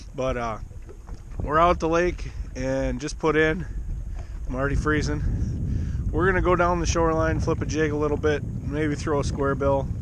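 A man speaks with long, frequent pauses. The sound is dry with no echo, but background noise is noticeable. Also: moderate pace. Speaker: fishing vlogger. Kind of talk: casual vlog chat. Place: boat. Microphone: phone near.

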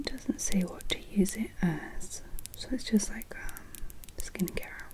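Whispering at a very slow pace. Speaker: beauty product reviewer. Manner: soft-spoken ASMR murmur.

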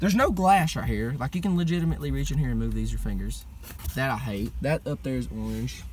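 In a Southern US accent, the speech runs at a very fast pace, with a dry sound with no echo and light background noise. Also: man. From US South. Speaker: car vlogger. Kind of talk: casual chat. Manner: loud. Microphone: phone near.

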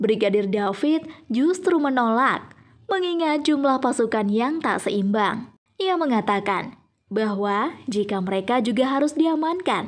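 With lively intonation, a woman speaks at a fairly high pitch and a fairly slow pace.

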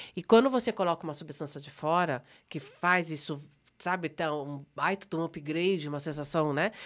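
The speaker's loudness swings widely, with ordinary pitch variation. The recording is very clean, the background silent. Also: woman. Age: 50s. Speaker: psychologist. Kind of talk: testimony. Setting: studio.

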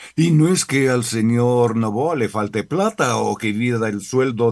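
A man speaks at a fairly slow pace and a medium pitch over a quiet background. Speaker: radio editorialist. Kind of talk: editorial commentary, angry rant. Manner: indignant, sarcastic, scolding; emphatic, accusatory, forceful. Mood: critical, indignant. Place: studio. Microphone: studio mic.

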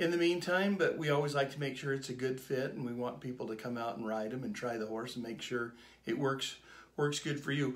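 A man's normal speaking voice in an American accent, medium in pitch with ordinary variation, at a fairly quick pace. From Southern California. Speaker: horse dealer and auctioneer. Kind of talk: casual talk to camera. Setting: studio.

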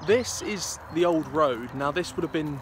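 A man is speaking with noticeable background noise. The sound is dry, with no echo. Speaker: local history vlogger. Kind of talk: casual vlog commentary. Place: open country. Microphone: phone near.

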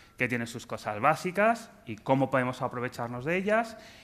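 At a fairly quick pace, a man with a medium pitch and a bright, sharp tone speaks with ordinary pitch variation. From Spain. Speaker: telecom anti-fraud specialist, conference speaker; conference speaker. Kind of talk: conference talk. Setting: stage with audience. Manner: joking, animated. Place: stage.

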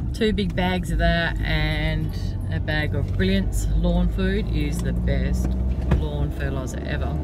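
Clear music plays in the background. A woman speaks in a dry sound with no echo. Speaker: vlogger. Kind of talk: casual vlog chat. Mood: relaxed, chatty. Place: car. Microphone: phone near.

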